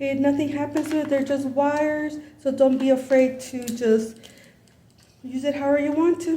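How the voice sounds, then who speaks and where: A woman speaks at a moderate pace with a high pitch. Room echo is audible. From Los Angeles, US (born in Mexico). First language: Spanish. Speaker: YouTuber. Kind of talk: tutorial. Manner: casual, halting.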